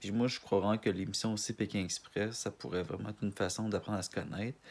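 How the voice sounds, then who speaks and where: Speaking at a very fast pace, a man with a strong Canadian French accent keeps a fairly low pitch and a monotone, flat intonation. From Quebec, Montreal. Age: 20s. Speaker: casting applicant. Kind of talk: self-presentation video. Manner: halting, many restarts and fillers.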